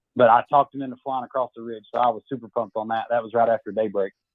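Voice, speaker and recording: Talking at a very fast pace, a man with a Southern US accent keeps his medium-pitched voice on fairly even intonation. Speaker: amateur turkey hunter. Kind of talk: casual chat, telling a hunting story.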